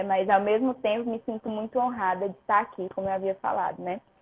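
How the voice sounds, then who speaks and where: With monotone, flat intonation, a woman speaks at a fairly quick pace. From northern Brazil, Pará. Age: 20s. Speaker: personal trainer. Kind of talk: testimony.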